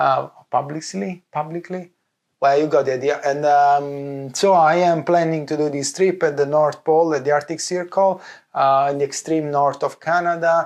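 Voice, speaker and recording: In an Italian accent, a man speaks at a moderate pace with a fairly high pitch. His intonation stays fairly even. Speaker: vlogger, visual effects lighting artist. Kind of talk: casual vlog. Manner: halting, many fillers.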